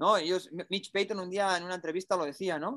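Recorded with a dry, close sound and no echo, a man speaks in a high voice with a bright, sharp tone. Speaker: motocross rider and podcast host. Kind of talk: casual chat.

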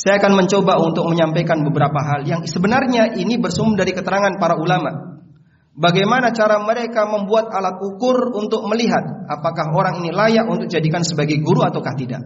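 A man talks at a very fast pace with hardly any pauses, his pitch high. Noticeable background noise and audible room echo surround him. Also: ordinary pitch variation. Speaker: Islamic preacher. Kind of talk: sermon.

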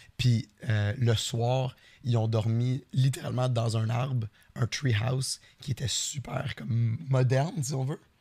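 Speaking at a very slow pace with a Quebec accent, this man has a medium pitch, a dark, mellow tone, a somewhat breathy quality and fairly even intonation. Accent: Québécois French. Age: 30s. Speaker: podcast co-host and streamer. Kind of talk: casual chat.

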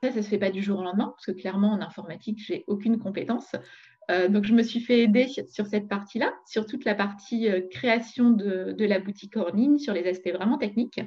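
At a moderate pace, a woman speaks in a somewhat breathy, dark, mellow voice of medium pitch with ordinary pitch variation. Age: 40s. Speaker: entrepreneur. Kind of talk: interview. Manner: halting.

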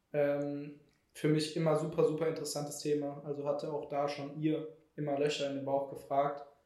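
Amid audible room echo, a man speaks at a fairly high pitch with a monotone, flat intonation. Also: moderate pace. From Germany, Heidelberg. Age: 20s. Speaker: startup employee, content marketer. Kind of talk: casual chat. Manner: halting, many fillers.

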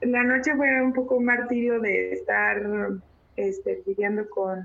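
A woman talks at a very slow pace. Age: 30s. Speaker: visual artist and curator. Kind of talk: testimony.

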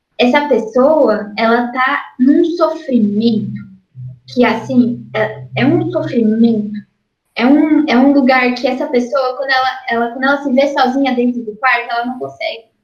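A woman's high voice with ordinary pitch variation at a fairly slow pace, in audible room echo. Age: 20s. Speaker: artist. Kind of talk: casual interview.

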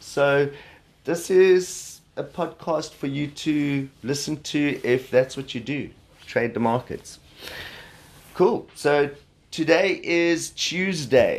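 Speaking in a South African accent, the voice moves at a very slow pace with ordinary pitch variation. The background is quiet. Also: man. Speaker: podcast host, trader. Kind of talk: solo podcast monologue on markets. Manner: casual, hesitant with fillers.

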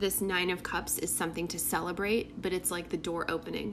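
A woman's medium-pitched voice with vocal fry, monotone, flat intonation and a moderate pace. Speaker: tarot reader. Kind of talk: tarot reading monologue. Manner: casual, filler-heavy.

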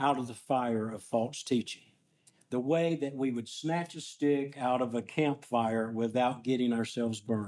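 A man with an American accent and a dark, mellow tone, speaking fairly slowly with ordinary pitch variation on a very clean recording with a silent background. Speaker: pastor. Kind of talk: sermon. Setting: church.

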